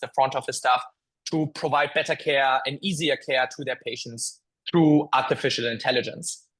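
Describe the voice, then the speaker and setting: A man speaks at a moderate pace with a slight German accent. His pitch is fairly high and his intonation fairly even. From Germany. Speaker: tech company founder and CEO. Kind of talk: interview podcast. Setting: office. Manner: hesitant, many filler words.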